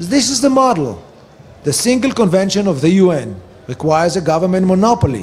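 Lively in intonation, a man talks at a moderate pace in a high pitch. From Israel. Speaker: medical cannabis researcher and advocate; conference lecturer. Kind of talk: conference lecture. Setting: stage with audience. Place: hall.

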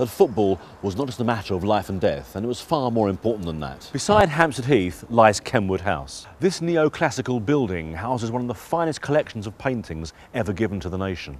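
A man with a British accent at a fairly quick pace, his pitch swinging very widely, over noticeable background noise. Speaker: presenter, TV and radio broadcaster, event host, voice-over. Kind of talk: documentary-style narration.

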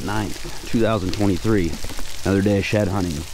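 A man keeps his intonation fairly even, with noticeable background noise present. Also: dry sound with no echo. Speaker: shed hunter vlogger. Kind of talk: casual vlog chat. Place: open country. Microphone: phone near.

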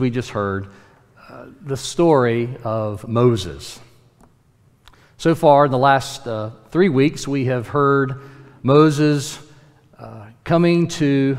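Very slow speech from a man, broken by long, frequent pauses, with ordinary pitch variation and a quiet background. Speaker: pastor. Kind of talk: sermon. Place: church. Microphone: podium.

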